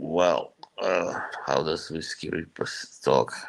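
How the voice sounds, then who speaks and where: A man talks at a very slow pace. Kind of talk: casual chat. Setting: live stream.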